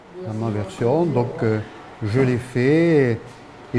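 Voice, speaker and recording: With noticeable background noise behind him, a man speaks at a very slow pace. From France, Ariège. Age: 70s. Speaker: local author and poet. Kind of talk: interview. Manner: hesitant, many fillers.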